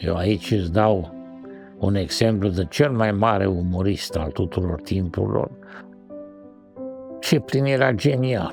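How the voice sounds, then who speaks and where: Over music in the background, a man with a fairly low pitch speaks at a very slow pace with lively intonation. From Romania. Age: 70s. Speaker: animation director and writer. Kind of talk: documentary interview answer.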